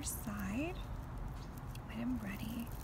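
Loud background noise dominates the clip. A woman's voice is heard through it. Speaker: artist and designer. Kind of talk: craft tutorial, casual talk to camera. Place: garden. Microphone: phone near.

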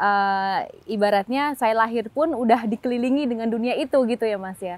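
Fairly high-pitched woman at a moderate pace, in a dry sound with no echo. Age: 20s. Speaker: member of parliament; interviewee. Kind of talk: TV talk show interview. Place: stadium. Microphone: lapel.

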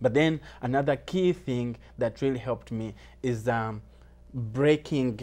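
With a Ugandan accent, a man speaks at a fairly slow pace and with fairly even intonation. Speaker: recent immigrant sharing life story. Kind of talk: interview. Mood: motivational, earnest. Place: studio. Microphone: lapel.

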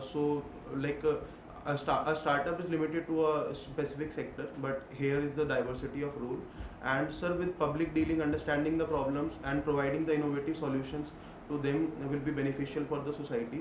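A man talks at a fairly quick pace in a fairly high pitch, his intonation monotone and flat. Noticeable background noise runs underneath. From India, Delhi. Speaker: civil service candidate; interview candidate. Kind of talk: mock job interview. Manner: hesitant, with frequent fillers. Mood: formal, polite, slightly hesitant. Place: meeting room.

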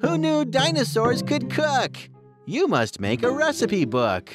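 A cartoonish character voice at middle pitch, with faint music in the background. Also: fairly slow pace. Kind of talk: children's picture-book read-aloud. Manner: insistent, playful, then delighted.

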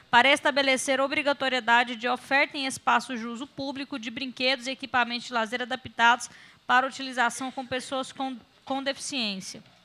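A woman's raised, projected voice comes at a fairly quick pace, bright and sharp in tone, with monotone, flat intonation. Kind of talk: formal meeting chairing. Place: meeting room. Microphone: podium.

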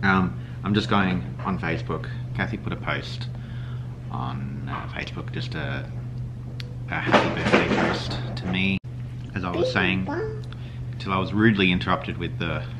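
A man speaks at a moderate pace with long, frequent pauses. Loud background noise runs underneath. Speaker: family vlogger. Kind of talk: casual vlog chat. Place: kitchen. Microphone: phone near.

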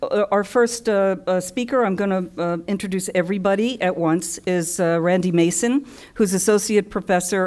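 In a normal speaking voice, a woman talks at a fairly low pitch with ordinary pitch variation. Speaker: panel moderator. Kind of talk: introduction of panelists. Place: hall.

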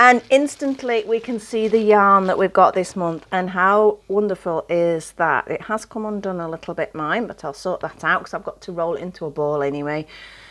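A woman at a fairly quick pace, with big swings in loudness and ordinary pitch variation. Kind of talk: casual vlog chat. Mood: cheerful, enthusiastic.

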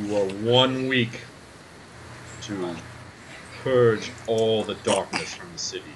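A booming, put-on character voice from a man at a medium pitch, fairly slow, with long, frequent pauses and clear background noise. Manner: haughty, menacing.

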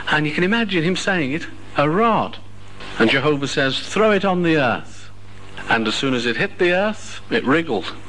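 Over light background noise, a man with a British accent talks at a moderate pace in a fairly high voice that swings very widely in pitch. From United Kingdom. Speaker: religious speaker. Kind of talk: sermon. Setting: hall with live audience. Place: hall.

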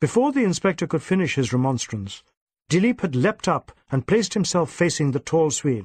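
This man's voice sits fairly high, moving at a moderate pace with big pitch swings. His tone is slightly mellow, with a slightly husky edge.

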